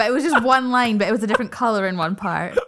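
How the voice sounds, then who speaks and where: Over noticeable background noise, a woman talks at a high pitch with lively intonation. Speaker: podcast guest. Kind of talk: casual chat.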